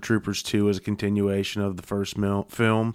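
With a plain, everyday voice, a man speaks at a moderate pace and fairly low pitch on a very clean recording with a silent background. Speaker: panelist. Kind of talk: casual chat.

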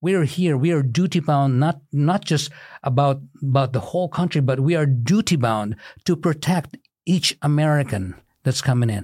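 In a very clean recording with a silent background, a man speaks at a moderate pace in a fairly high, somewhat breathy voice, with lively intonation and very even loudness. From Philippines. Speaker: physical therapist and community leader. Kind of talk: interview.

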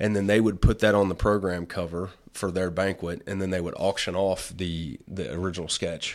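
In an American accent, a man with a very deep, low pitch talks at a moderate pace in a flat monotone, hardly pausing, on a very clean recording with a silent background. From Illinois. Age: 40s. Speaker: wildlife artist. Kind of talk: casual chat.

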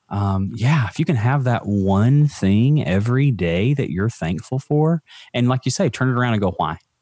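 This man has a Southern US accent and a medium pitch, with lively intonation at a fairly slow pace. The sound is dry and close, with no echo. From Alabama. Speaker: mental health advocate. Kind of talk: casual chat.

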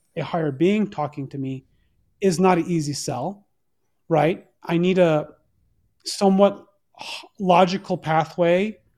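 At a fairly slow pace, a man talks with a high pitch and ordinary pitch variation. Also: very clean recording, silent background. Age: 40s. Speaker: entrepreneur guest, new to Christianity. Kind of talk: casual chat. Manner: halting, many restarts.

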